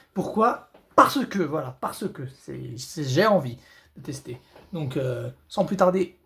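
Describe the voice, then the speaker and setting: A man speaks loudly at a very slow pace. His voice is fairly high in pitch with lively intonation. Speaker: gaming youtuber. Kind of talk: gameplay commentary. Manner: halting, repetitive stammering.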